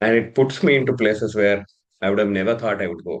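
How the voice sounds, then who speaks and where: A man with a Kannada accent talks at medium pitch with ordinary pitch variation. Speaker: leadership and career coach. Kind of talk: interview conversation. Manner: hesitant with fillers.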